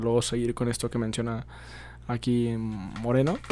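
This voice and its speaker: Noticeable noise fills the background. Over it, a man speaks fairly quickly. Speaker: podcast host. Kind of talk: casual discussion. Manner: halting, many fillers.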